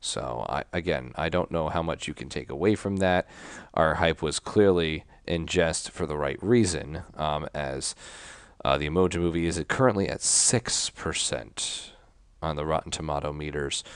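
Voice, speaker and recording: Soft-spoken and very deep, a man's low voice has a dark, mellow tone, ordinary pitch variation and a moderate pace on a very clean recording with a silent background. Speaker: podcast co-host. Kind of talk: casual chat. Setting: remote recording from home. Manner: quiet, soft.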